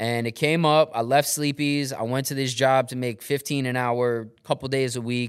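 Hardly any pauses break up this man's moderate pace, delivered with a New York accent at a medium pitch. His intonation is monotone and flat, and the recording is very clean with a silent background. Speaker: former radio host turned real estate investor. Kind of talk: casual chat.

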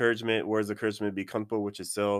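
A very clean recording of a man, silent background throughout. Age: 30s. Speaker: postal worker. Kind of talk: casual chat.

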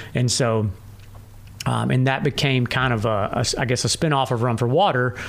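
A man with a Tennessee accent speaks at a medium pitch and moderate pace, with ordinary pitch variation and very even loudness. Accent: Southern US (Tennessee). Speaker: ultrarunner. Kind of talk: casual chat. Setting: home studio.

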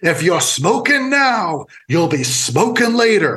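Loud and slow-ish at a fairly slow pace, a man does a put-on character voice pitched high with very wide pitch swings. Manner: booming, declaring.

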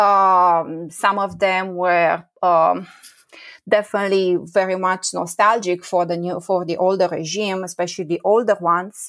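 A woman with a Romanian accent talks in a flat monotone on a very clean recording with a silent background. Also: medium pitch for a woman, fairly slow pace. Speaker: professor. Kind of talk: interview. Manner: halting, many fillers.

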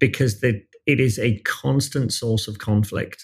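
A man with a British accent speaks in a somewhat breathy voice of medium pitch. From Britain. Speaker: music finance executive. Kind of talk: podcast interview.

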